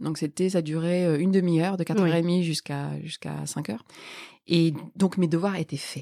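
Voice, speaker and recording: Recorded very cleanly with a silent background and a dry, close sound with no echo, a woman speaks at a fairly slow pace in a fairly low voice with a dark, mellow tone and fairly even intonation. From northern France, Lille Sud. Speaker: political scientist and author. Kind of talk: interview. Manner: halting.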